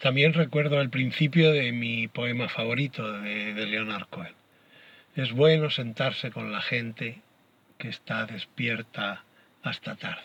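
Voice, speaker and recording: This man has a normal speaking voice at medium pitch. He talks at a fairly slow pace with ordinary pitch variation. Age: 60s. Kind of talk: personal reflection.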